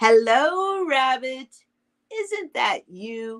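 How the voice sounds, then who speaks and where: A woman puts on a character voice pitched high. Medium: read story. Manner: gentle, simple.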